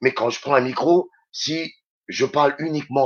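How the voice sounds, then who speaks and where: A man with a Réunion accent at a fairly slow pace. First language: Réunion Creole (speaking French). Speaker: radio host and DJ. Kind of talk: radio interview chat.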